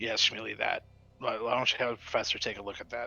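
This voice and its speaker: Using a put-on character voice, a man talks at a very fast pace. His voice is raspy and medium in pitch. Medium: actual play. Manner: hesitant, halting.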